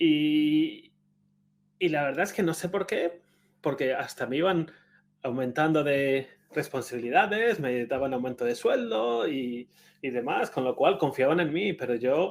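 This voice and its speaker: With a Spanish accent, a man speaks at a fairly slow pace. His fairly high voice carries lively intonation. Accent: Spanish (Spain). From Spain. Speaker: conference speaker. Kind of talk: conference talk. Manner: conversational, with frequent hesitations.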